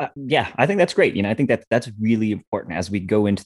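Recorded very cleanly against a silent background, a man with an American accent talks at a very fast pace. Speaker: podcast host. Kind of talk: casual chat. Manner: fast talker.

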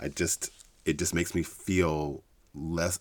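A man with a very deep, low-pitched voice. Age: 40s. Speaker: podcast host. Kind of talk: personal conversation. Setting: studio. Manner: halting.

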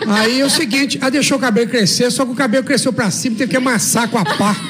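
Audible room echo and noticeable background noise surround a voice with ordinary pitch variation. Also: man. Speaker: gym owner and bodybuilder. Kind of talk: radio interview. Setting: radio studio.

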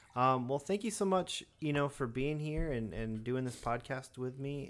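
A man talks at a moderate pace with medium pitch and ordinary pitch variation. It is a normal speaking voice. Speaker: podcast host. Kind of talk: casual interview. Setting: home studio.

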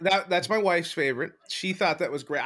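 Recorded very cleanly with a silent background, a man speaks loudly at a high pitch and a moderate pace, his tone bright, sharp and animated, with lively intonation. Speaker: podcast host. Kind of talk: casual banter. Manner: loud, excitable.

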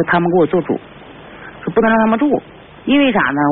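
Noticeable noise fills the background. A woman talks through it. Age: 40s. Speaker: caller. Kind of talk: call-in advice. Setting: phone call. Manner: halting.

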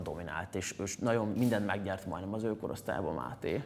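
A man speaks at a fairly quick pace in a fairly low voice, with noticeable background noise behind him. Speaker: singer and former tennis player. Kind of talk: interview chat.

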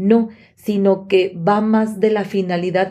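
A woman's medium-pitched voice with a dark, mellow tone, fairly even intonation and a fairly slow pace. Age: 30s. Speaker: podcast co-host. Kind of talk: casual chat.

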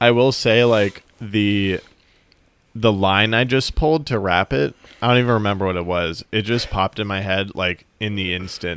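The speech moves at a moderate pace with ordinary pitch variation. It is an unremarkable speaking voice. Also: man, fairly low pitch for a man. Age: 20s. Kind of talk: casual chat. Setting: video call.

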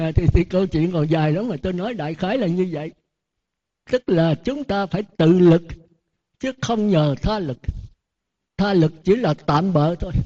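A man with a high pitch and a dark, mellow tone talks with long, frequent pauses. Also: ordinary pitch variation, fairly slow pace, dry, close sound with no echo. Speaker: Buddhist monk. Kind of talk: sermon. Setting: temple.

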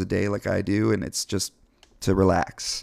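Recorded very cleanly against a silent background in dry, close sound with no echo, a man with an American accent uses an ordinary speaking voice at a fairly low pitch and a moderate pace. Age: 30s. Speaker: company representative. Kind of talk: casual chat.

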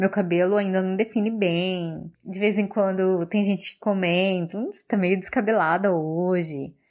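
A woman talks fairly slowly, with ordinary pitch variation. Her medium-pitched voice is an ordinary speaking voice. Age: 30s. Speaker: journalist. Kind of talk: recorded testimony.

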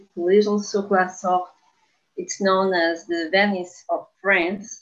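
The speech comes at a very slow pace in a Portuguese accent, with a monotone, flat intonation. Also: woman. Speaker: podcast co-host. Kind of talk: casual chat.

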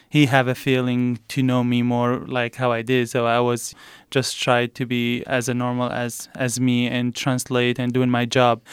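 In a very clean recording with a silent background, a man with an Arabic accent speaks at a moderate pace and a medium pitch, his intonation flat and monotone. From Iraq, south. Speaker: refugee, former military translator. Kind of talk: interview.

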